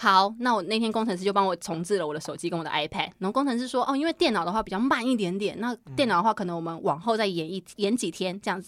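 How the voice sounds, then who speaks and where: Speaking at a very fast pace with hardly any pauses, a woman at a medium pitch uses lively intonation. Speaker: podcast co-host. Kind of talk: casual chat.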